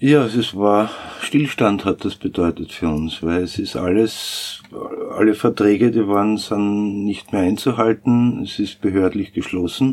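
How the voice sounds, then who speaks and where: A man's fairly low voice at a fairly slow pace with ordinary pitch variation, against noticeable background noise. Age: 50s. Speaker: sound engineer and studio owner. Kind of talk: interview. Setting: recording studio.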